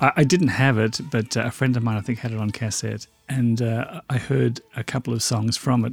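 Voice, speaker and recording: An Australian-accented man talks at a fairly quick clip with hardly any pauses. His voice is somewhat breathy and his intonation fairly even. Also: medium pitch for a man. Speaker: podcast host. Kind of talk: casual podcast chat.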